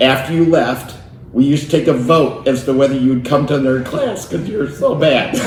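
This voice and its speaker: A man's fairly high voice at a fairly quick pace, with ordinary pitch variation, audible room echo and noticeable background noise. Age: 60s. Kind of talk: casual interview storytelling.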